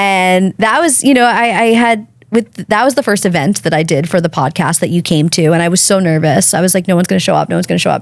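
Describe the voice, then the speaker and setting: Very fast speech from a woman, fairly low in pitch, with ordinary pitch variation. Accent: American. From Long Island, New York. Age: 30s. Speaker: podcast host and guest. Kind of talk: casual interview chat.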